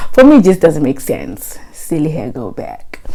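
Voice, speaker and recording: With noticeable background noise behind it, a voice speaks at a fairly quick pace with lively intonation. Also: woman. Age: 20s. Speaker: vlogger. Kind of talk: casual monologue vlog. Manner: animated.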